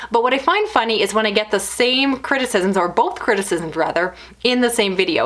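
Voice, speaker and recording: Amid noticeable background noise, a woman talks at a fairly quick pace in a fairly high-pitched voice. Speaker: book reviewer YouTuber. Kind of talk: casual vlog monologue. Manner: fast.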